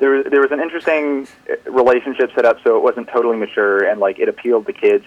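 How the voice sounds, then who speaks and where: A man with an American accent rattles along at a very fast pace, and noticeable noise can be heard behind him. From US West Coast. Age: young. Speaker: caller, college student. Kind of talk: casual chat. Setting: phone call.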